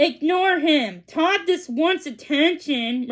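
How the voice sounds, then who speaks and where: Putting on a character voice, a woman speaks very slowly at a high pitch with lively intonation. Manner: teacherish, dismissive.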